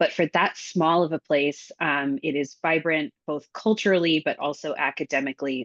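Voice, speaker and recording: With a very deep, low pitch, a woman speaks against a quiet background, the sound dry and close with no echo. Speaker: university admissions representative. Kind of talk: webinar presentation.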